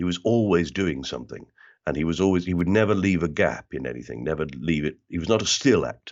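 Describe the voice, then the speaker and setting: This man's voice has vocal fry and very wide pitch swings. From South London (Bermondsey). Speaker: actor and comedian. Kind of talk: interview conversation. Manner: tends to mimic the accent of whoever he talks to.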